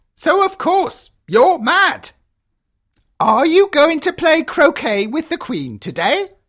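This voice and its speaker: A put-on character voice, high in pitch, at a fairly slow pace. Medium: audio drama. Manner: sly, teasing.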